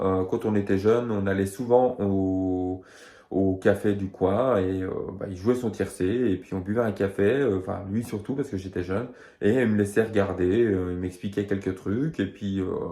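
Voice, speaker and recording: The speaker is a man with a fairly low pitch. He talks fairly slowly, his intonation fairly even. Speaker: horse racing tipster. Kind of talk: betting tips video; casual personal story. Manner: hesitant, many fillers.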